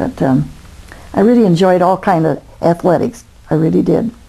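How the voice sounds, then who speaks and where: Fairly slow and lively in intonation, a woman with an American accent speaks in a dark, mellow tone with vocal fry. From US Midwest, Toledo, Ohio. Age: 80s+. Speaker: grandmother interviewed about her life. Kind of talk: oral history interview. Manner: halting, many fillers.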